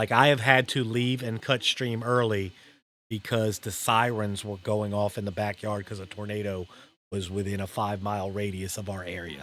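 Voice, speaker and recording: A normal speaking voice with an American accent talks at a moderate pace with fairly even intonation. The recording is very clean, with a silent background. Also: man, fairly low pitch for a man. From US South, New Orleans. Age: 50s. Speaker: live streamer. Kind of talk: casual chat.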